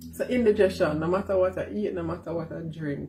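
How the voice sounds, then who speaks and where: A woman talks with ordinary pitch variation and a somewhat breathy sound. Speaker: vlogger. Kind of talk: casual vlog.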